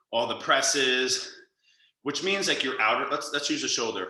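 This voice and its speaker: In a room with audible echo, a man speaks at a fairly quick pace. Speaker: yoga instructor. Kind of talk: guided yoga class instruction. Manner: loud; animated.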